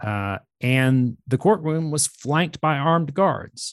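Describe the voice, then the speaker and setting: Using a plain, everyday voice, a man with an American accent talks at a fairly slow pace with lively intonation. The sound is dry and close with no echo, over a quiet background. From US South, Georgia (Atlanta area). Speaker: author, journalist. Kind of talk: interview.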